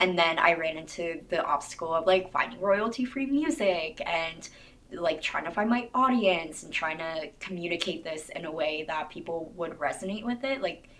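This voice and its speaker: A woman talks at a fairly quick pace with a fairly low pitch and ordinary pitch variation amid noticeable background noise. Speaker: YouTuber and teacher. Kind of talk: casual Q&A vlog.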